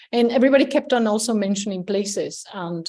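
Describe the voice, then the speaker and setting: A woman in a Spanish accent, with ordinary pitch variation and a fairly quick pace, against a quiet background. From Spain. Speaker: game researcher. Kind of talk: academic talk. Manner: hesitant, many fillers.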